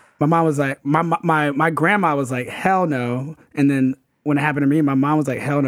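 Heard on a very clean recording with a silent background, a man with a normal speaking voice and a fairly high pitch talks at a moderate pace. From Atlanta, US South. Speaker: sports writer. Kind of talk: casual chat. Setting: live show, art studio.

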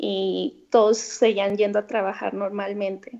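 With a quiet background behind her, a woman talks at a very slow pace. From Mexico, Guadalajara. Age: 20s. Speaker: former student abroad. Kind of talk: interview.

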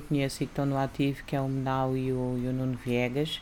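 Over noticeable background noise, a woman with a very deep, low pitch talks at a moderate pace. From Algarve, Portugal (early childhood in Lisbon). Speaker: rapper. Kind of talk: casual interview.

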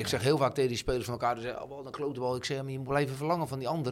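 Very fast male speech at a medium pitch, fairly even in intonation. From Netherlands, Voorne-Putten (South Holland). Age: 50s. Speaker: football coach. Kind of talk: casual interview. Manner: halting, many repetitions and fillers.

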